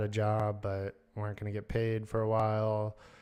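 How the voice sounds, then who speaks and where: A man speaks in a fairly low pitch with an American accent over a quiet background. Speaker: podcaster. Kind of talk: casual monologue.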